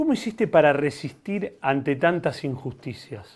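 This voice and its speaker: Speaking at a fairly slow pace, the man's voice moves through very wide pitch swings. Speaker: podcast host. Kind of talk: casual chat.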